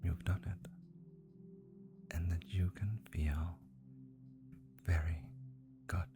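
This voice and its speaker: With music in the background, a woman speaks at a very slow pace in a very deep, low pitch, using lively intonation and long, frequent pauses. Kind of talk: hypnotic guided relaxation.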